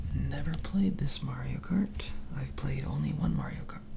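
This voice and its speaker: A soft-spoken man with a soothing tone, amid noticeable background noise. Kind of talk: ASMR soft-spoken magazine reading. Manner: soft-spoken, soothing.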